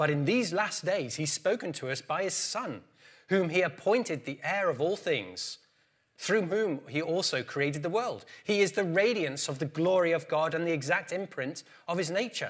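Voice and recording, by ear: A man talks with few pauses and lively intonation, his fairly high pitch carrying a fairly bright tone and a slightly husky edge. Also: moderate pace.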